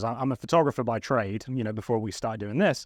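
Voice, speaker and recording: With an English accent, a man talks with ordinary pitch variation over a quiet background. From England. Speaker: photographer and YouTuber. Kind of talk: casual chat.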